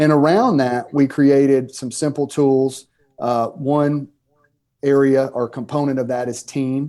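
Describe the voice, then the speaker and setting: With a Southern US accent, a man talks at a fairly slow pace in a dark, mellow tone, his fairly high pitch held to fairly even intonation. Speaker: pastor and author. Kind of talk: podcast interview. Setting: podcast.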